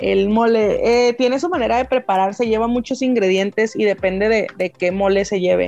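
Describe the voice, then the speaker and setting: Speaking with a Mexican accent, a woman with a fairly high voice keeps a moderate pace, very even loudness, ordinary pitch variation and hardly any pauses over noticeable background noise. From Mexico. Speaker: podcast co-host. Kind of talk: casual chat.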